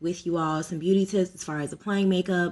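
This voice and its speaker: This woman has a plain, everyday voice at medium pitch, with fairly even intonation. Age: 30s. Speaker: makeup artist. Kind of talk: tutorial. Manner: casual, chatty.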